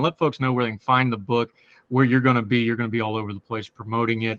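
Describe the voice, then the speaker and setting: Speaking at a very fast pace, a man with an American accent keeps a monotone, flat intonation. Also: dry, close sound with no echo, quiet background. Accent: hillbilly. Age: 40s. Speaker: podcast host. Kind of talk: interview.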